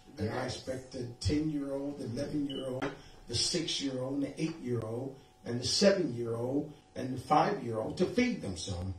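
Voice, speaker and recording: A man talks at a fairly slow pace with audible room echo. Faint music plays in the background. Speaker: preacher. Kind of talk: sermon. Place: home room.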